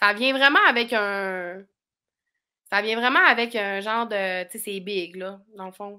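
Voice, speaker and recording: A woman speaks in a bright, sharp tone at a very slow pace, with ordinary pitch variation. Her loudness swings widely against a quiet background. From Quebec, Saguenay (Chicoutimi); Quebec. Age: 30s. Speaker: YouTuber and reality TV personality; YouTuber. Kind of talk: casual chat. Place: home room.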